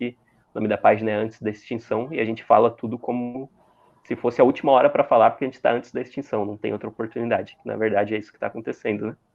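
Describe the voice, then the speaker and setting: A man talks at a very fast pace. His medium pitch stays in a monotone, flat intonation. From Santa Catarina, southern Brazil. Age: 20s. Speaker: content creator. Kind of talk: interview.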